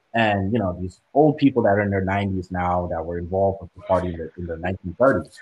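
In a very deep, low pitch, a man talks at a fairly quick pace with hardly any pauses, his voice somewhat breathy, his pitch variation ordinary and his loudness swinging widely. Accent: American. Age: young. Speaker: student activist. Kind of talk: casual chat.

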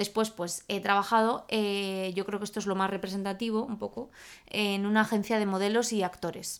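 The recording is very clean, with a silent background. A woman speaks with monotone, flat intonation. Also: medium pitch for a woman, moderate pace. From Spain, Salamanca. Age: 20s. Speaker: podcast co-host. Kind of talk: casual chat.

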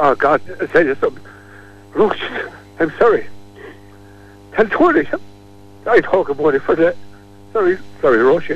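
The speaker talks at a fairly quick pace in a Kilkenny accent, with long, frequent pauses. Noticeable background noise runs underneath. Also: man. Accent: Irish, Kilkenny. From Kilkenny, Ireland. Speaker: local character, Elvis fan. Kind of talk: radio interview. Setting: phone line. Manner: animated.

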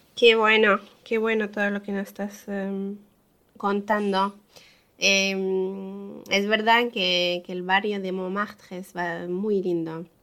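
A woman's medium-pitched voice has a bright, sharp tone and monotone, flat intonation, with big swings in loudness. She talks at a very slow pace with long, frequent pauses. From France. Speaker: podcast co-host. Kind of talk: casual interview.

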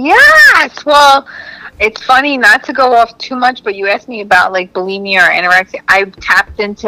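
A woman speaks with lively intonation in a dry, close sound with no echo, with noticeable background noise present. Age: 40s. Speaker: comedian. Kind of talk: casual chat.

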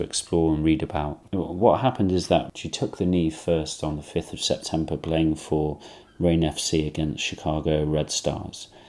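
A man speaks with an English accent in a very deep, low voice. His intonation stays fairly even, and the recording is very clean with a silent background. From England. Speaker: podcast host. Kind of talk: solo commentary monologue.

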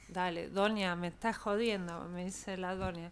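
A soft-spoken woman talks at a medium pitch. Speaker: blues singer. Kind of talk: casual chat.

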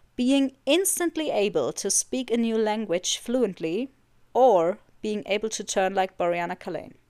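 Fairly slowly and with lively intonation, a woman speaks at a fairly high pitch in a dark, mellow tone, the sound dry and close with no echo. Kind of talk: casual chat.

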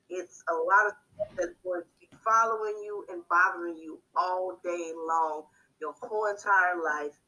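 With an American accent, a woman talks at a fairly slow pace with a medium pitch and fairly even intonation. Her tone is bright and sharp, with big swings in loudness. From US, Haitian family. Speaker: podcast co-host. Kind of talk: casual chat.

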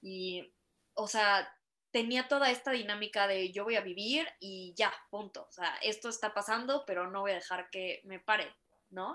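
A woman with a Mexican accent speaks at a medium pitch in a bright, sharp tone. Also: ordinary pitch variation, fairly slow pace. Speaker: guest sharing personal story of spinal injury. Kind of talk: casual interview chat.

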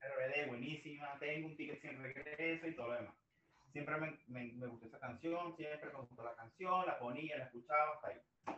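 Bright and sharp in tone, a man talks at a fairly high pitch with fairly even intonation. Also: moderate pace. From Venezuela (Maracay). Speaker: music fan guest. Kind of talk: casual interview chat.

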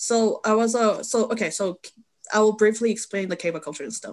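In a Korean accent, a woman talks at a very fast pace with ordinary pitch variation. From South Korea. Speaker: photographer and model. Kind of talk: casual chat. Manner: halting.

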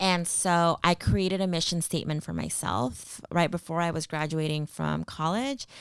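With a Californian accent, a woman speaks at a moderate pace with hardly any pauses. Her fairly low pitch shows ordinary variation on a very clean recording with a silent background. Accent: Californian American English. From California, Central Valley (Stockton). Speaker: nonprofit program manager. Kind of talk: interview.

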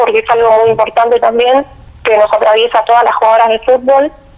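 Her intonation flat and monotone, the woman talks very fast. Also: very even loudness. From Argentina, Quilmes (Buenos Aires). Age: 20s. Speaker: engineering student and athlete. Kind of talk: interview.

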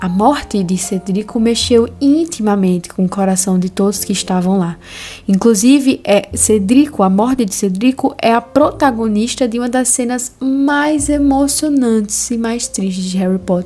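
A woman's fairly high voice at a fairly slow pace, with ordinary pitch variation, hardly any pauses, and noticeable background noise. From Brazilian Northeast, interior. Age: 20s. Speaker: podcast host, theology student. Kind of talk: casual podcast monologue with Bible reading. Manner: animated.

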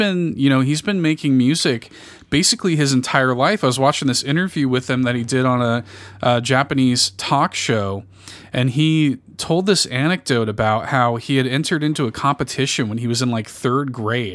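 An American-accented man with an enthusiastic tone speaks at a fairly quick pace and medium pitch with ordinary pitch variation, in a very clean recording with a silent background. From Chicago. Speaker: podcaster and guest. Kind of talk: casual chat.

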